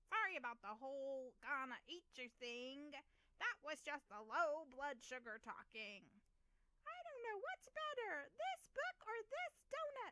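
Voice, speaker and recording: A put-on character voice is pitched high. It moves at a fairly slow pace. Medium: read story. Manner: growly, childish.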